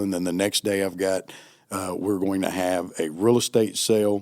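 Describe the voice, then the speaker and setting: Speaking at a moderate pace with fairly even intonation, a man has an unremarkable speaking voice and an American accent. The recording is very clean and the background silent. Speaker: auctioneer. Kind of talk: interview answer.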